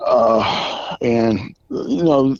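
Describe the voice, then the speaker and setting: With a medium pitch, a man speaks in an unremarkable speaking voice. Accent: American. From Southern California. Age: 60s. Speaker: military veteran. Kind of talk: eyewitness testimony.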